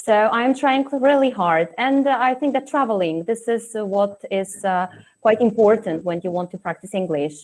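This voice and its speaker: With a Polish accent, a woman speaks at a moderate pace in a fairly high voice with lively intonation. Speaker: teacher. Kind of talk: casual chat. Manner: hesitant, many fillers.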